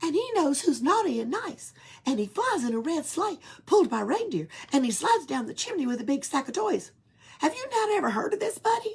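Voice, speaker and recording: A put-on character voice sits at a high pitch with very wide pitch swings. It moves at a fairly quick pace. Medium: read story. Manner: teasing, cheeky.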